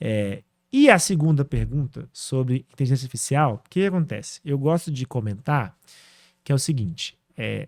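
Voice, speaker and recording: A man with a normal speaking voice, fairly high in pitch, with lively intonation and a moderate pace, in a very clean, dry, close recording with a silent background and no echo. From Brazil, northern Minas Gerais. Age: 30s. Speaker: AI entrepreneur. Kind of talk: podcast interview.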